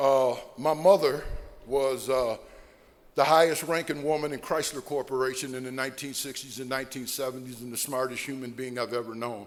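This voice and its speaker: A man with an American accent speaks at a fairly quick pace and medium pitch, in an unremarkable speaking voice. His intonation is fairly even, but his loudness swings a lot. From Ohio (Sandusky). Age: 60s. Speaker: recovering alcoholic speaker. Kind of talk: AA speaker talk / testimony.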